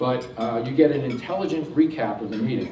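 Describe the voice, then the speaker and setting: Room echo and noticeable background noise surround a man's voice. He has a medium pitch and talks at a fairly quick pace. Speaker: technology presenter. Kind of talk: presentation to audience. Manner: fast; many filler words.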